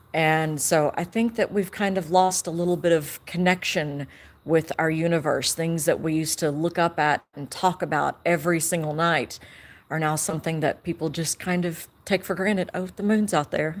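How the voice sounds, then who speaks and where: Here is a woman with a Southern accent. Her pitch sits fairly low. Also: fairly even intonation, moderate pace, very clean recording, silent background. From US South, East Tennessee. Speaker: amateur astronomer. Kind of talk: live stream chat. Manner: casual, with fillers.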